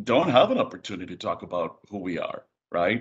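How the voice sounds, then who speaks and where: Here a man talks at a fairly quick pace. He has a Spanish accent. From Puerto Rico. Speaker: diversity and inclusion executive. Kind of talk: webinar presentation.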